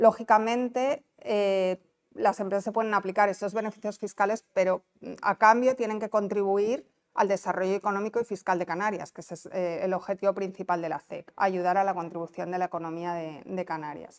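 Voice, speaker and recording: A woman speaks at a fairly quick pace with ordinary pitch variation and big swings in loudness. The background is quiet. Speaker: investment promotion officer. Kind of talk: conference talk. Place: meeting room.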